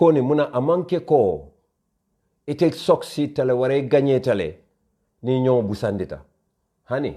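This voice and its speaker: A man's dark, mellow voice at medium pitch, with lively intonation, moderate pace and long, frequent pauses, on a very clean recording with a silent background. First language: Mandinka. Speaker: online show host. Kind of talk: live social media commentary. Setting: Facebook live stream.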